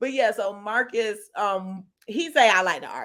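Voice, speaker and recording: In a very clean recording with a silent background, a woman speaks loudly in an animated tone, her fairly high pitch moving with ordinary variation. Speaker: podcast co-host. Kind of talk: casual chat.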